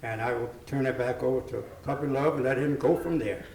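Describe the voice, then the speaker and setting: Amid noticeable background noise and audible room echo, a man speaks in a medium pitch. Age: 90s. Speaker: army veteran. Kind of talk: interview introduction.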